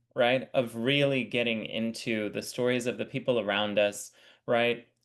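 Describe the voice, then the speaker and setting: A man at a moderate pace and medium pitch, in an ordinary speaking voice. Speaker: editorial supervisor. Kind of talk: interview host talk.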